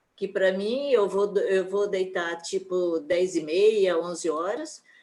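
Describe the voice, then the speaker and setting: Her pace is very slow. This woman's pitch falls in the medium range. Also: ordinary pitch variation. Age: 70s. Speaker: church event participant. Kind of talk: casual chat.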